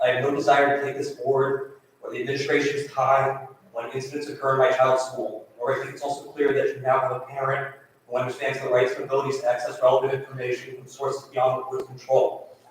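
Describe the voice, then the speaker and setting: A man speaks very fast in a flat, monotone delivery with a fairly high pitch. Room echo can be heard around his voice. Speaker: parent speaking at public comment. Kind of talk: public comment at school board meeting. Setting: public board meeting. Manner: formal.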